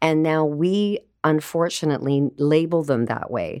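A woman speaks with a Canadian accent at a very deep, low pitch. The recording is very clean, with a silent background. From Canada, Vancouver. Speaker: home economist and cookbook author. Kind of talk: casual interview chat. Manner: animated.

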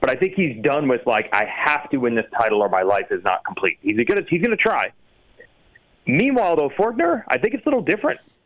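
Speaking at a fairly quick pace, a man shows vocal fry and very wide pitch swings while his loudness stays very even. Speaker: motocross journalist and announcer. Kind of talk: casual chat.

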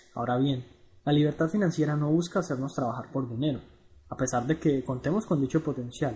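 A man's dark, mellow, somewhat breathy voice, fairly high in pitch, at a fairly quick pace. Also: ordinary pitch variation. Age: 20s. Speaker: blogger on personal finance. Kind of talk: reading aloud a blog article.

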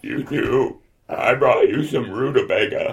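In a put-on character voice, a man speaks at an extremely high pitch and a fairly slow pace. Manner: earnest, flustered.

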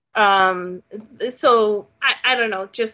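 A woman speaks with a Canadian accent in an unremarkable speaking voice. Her pitch sits at a medium level and varies in an ordinary way. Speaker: podcast host. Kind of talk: casual chat.

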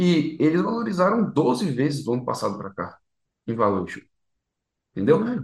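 A man's fairly high voice with vocal fry, very wide pitch swings, a moderate pace and long, frequent pauses. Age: 20s. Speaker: startup founder. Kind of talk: interview.

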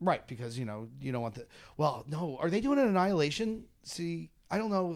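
In an animated tone, a man with fairly high pitch talks at a fairly quick pace with very wide pitch swings. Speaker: podcast host. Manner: joking, animated.

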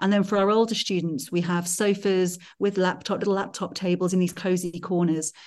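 A woman speaks in a flat monotone at a fairly quick pace, her pitch medium and her loudness very even. The background is quiet. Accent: Welsh. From Wales. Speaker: school head. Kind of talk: interview.

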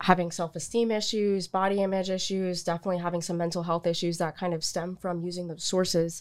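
A woman with an American accent uses a normal speaking voice at medium pitch and a fairly quick pace, on a very clean recording with a silent background. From Florida, US South. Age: 20s. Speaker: public health student. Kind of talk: casual interview.

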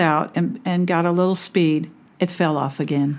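A woman with an American accent and a normal speaking voice talks at a moderate pace and medium pitch, in a very clean recording with a silent background. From California. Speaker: RV camper. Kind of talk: storytelling in interview.

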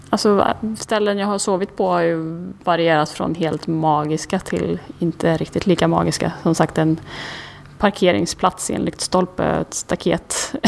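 A woman's fairly low, plain, everyday voice at a moderate pace, with ordinary pitch variation. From Sweden, Karlstad. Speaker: outdoor adventurer and photographer. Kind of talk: interview. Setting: recorded on location.

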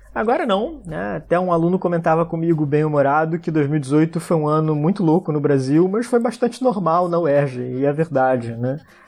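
Delivered in a normal speaking voice, the speech has lively intonation, a moderate pace and hardly any pauses. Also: man, fairly high pitch for a man. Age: 40s. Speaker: international relations professor. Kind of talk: interview about a trip.

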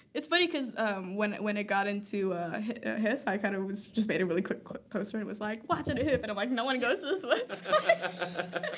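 A woman with a fairly high pitch and lively intonation talks at a fairly quick pace with hardly any pauses, over noticeable background noise. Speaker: film student and filmmaker. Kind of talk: casual interview chat. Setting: live-streamed podcast recording.

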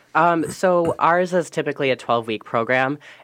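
This man has a plain, everyday voice. His intonation is lively and his pace moderate. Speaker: alcohol and drug counselor. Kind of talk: radio interview.

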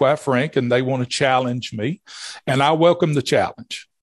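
Here a man speaks at a moderate pace, his pitch in the medium range. His pitch varies in an ordinary way, and the recording is very clean with a silent background. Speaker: police chief. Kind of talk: casual interview.

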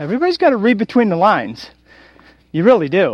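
A man speaks loudly. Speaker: radio talk show host. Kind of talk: solo monologue rant. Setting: recorded outdoors while walking a trail. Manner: animated.

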